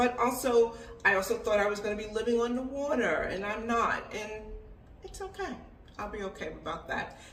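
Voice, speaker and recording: Over noticeable background noise and audible room echo, a woman with a fairly high pitch talks at a moderate pace, with ordinary pitch variation and big swings in loudness. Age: 60s. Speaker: expat lifestyle vlogger. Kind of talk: casual advice monologue. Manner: conversational.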